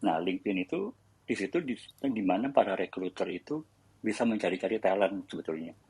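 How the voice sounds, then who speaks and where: A man with an ordinary speaking voice and a fairly low pitch. The sound is dry and close, with no echo. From Indonesia. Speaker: tech company employee sharing career advice. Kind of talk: casual panel discussion on audio chat room. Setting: online audio chat room.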